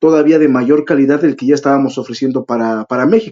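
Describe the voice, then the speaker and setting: Speaking in a fairly high pitch, a man talks with a Mexican accent. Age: 30s. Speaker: event organizer. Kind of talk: interview.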